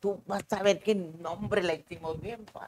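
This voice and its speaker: Her voice has a dark, mellow tone, and the woman speaks at a medium pitch with fairly even intonation. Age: 70s. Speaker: stage actress. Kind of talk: interview.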